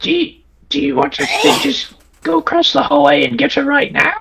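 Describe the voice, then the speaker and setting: Using a put-on character voice, someone talks at a middle pitch and a moderate pace. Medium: actual play. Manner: casual, halting.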